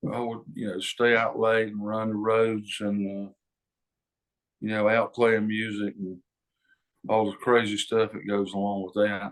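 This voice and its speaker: A man speaks at a fairly slow pace in a monotone, flat intonation, leaving long, frequent pauses. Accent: Southern US. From North Carolina, near Charlotte. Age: 70s. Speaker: singer-songwriter. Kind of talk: interview. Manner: halting, many fillers.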